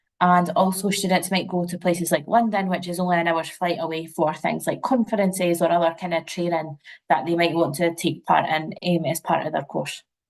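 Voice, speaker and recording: A woman's fairly low voice, fairly even in intonation, moving at a fairly quick pace with hardly any pauses. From Scotland, near St Andrews, Fife. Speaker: university representative. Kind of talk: webinar presentation. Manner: casual, many fillers.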